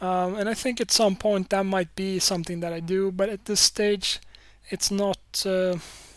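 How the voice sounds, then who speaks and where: In a very clean recording with a silent background, a woman speaks with a Swedish accent. Her pitch is medium, her pace moderate, and her intonation flat and monotone. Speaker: podcaster and YouTube creator. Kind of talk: solo podcast monologue. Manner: halting, many fillers and repeats.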